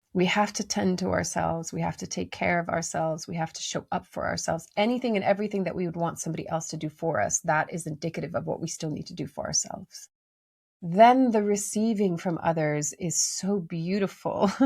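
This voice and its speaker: Vocal fry marks this woman's fairly low voice. She talks at a fairly quick pace with ordinary pitch variation. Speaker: life coach. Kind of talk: motivational talk.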